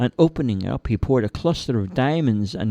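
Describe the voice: Plain reading aloud, the intonation lively throughout.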